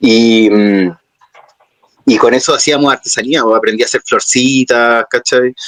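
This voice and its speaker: A man speaks at a fairly slow pace in a Chilean accent. His loudness stays very even, and the sound is dry and close with no echo. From Chile, Santiago. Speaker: puppeteer. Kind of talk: interview. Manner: hesitant, many fillers.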